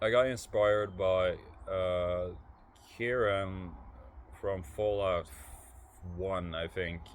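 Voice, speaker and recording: The man's pitch is very deep and low. He talks at a very slow pace with fairly even intonation. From Norway. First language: Norwegian. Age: 30s. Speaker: vlogger. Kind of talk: casual chat. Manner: halting, many fillers and repeated words.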